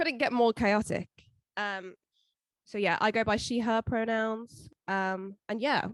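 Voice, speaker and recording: In a very clean, dry, close recording with no echo and a silent background, a woman with an English accent speaks at a very slow pace, with a fairly high pitch and ordinary pitch variation. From England. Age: 20s. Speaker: podcast co-host. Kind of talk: casual chat.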